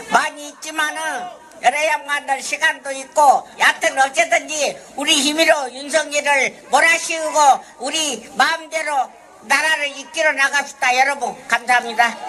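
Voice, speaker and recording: Over light background noise, a woman speaks in a raised, projected, high-pitched voice at a fairly slow pace with fairly even intonation. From Korea. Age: 80s+. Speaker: forced labour victim and activist. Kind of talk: protest speech and interview answers. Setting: outdoors. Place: street. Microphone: handheld.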